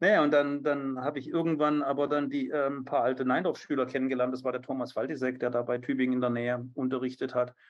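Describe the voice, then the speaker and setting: Speaking at a very fast pace with hardly any pauses, a man holds a monotone, flat intonation at a medium pitch. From southern Germany, Biberach an der Riss (Swabia). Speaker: riding instructor and author. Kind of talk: casual interview. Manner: hesitant, many fillers and repetitions.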